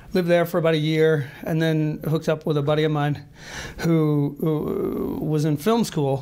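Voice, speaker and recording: A man with an American accent, fairly high pitch, moderate pace, fairly even intonation and very even loudness, amid noticeable background noise. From US South (Marietta, Georgia). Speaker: actor and writer. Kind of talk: interview. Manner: hesitant, many fillers.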